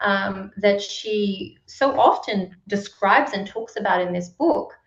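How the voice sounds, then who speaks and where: Speaking at a very slow pace, a woman talks with an Australian accent. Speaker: book club moderator. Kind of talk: online discussion.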